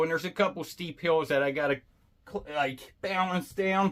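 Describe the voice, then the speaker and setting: Over a silent background in a very clean recording, a man with a high-pitched voice talks at a fairly slow pace with ordinary pitch variation. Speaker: fishing youtuber. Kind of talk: product unboxing review. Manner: casual, animated.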